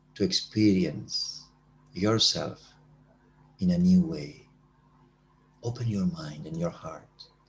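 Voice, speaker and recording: The man's speech unfolds at a very slow pace. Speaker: meditation teacher. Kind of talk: guided meditation; talk.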